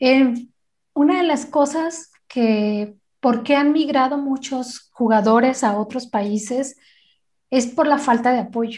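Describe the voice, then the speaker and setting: Against a quiet background, a high-pitched woman speaks at a very slow pace with ordinary pitch variation. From Guadalajara, Jalisco, Mexico. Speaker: wheelchair basketball player. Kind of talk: interview.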